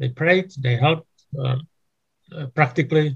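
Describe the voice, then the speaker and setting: Somewhat breathy, a man speaks at a fairly slow pace with fairly even intonation. The sound is dry and close, with no echo. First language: Czech. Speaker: church denomination leader. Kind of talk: interview. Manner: halting.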